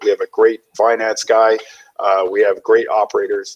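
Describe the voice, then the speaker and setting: A man speaks with a Canadian accent. His pace is moderate. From northern British Columbia coast, Canada. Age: 40s. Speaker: guest. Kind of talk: interview. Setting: video call from home kitchen. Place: home room. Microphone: headset.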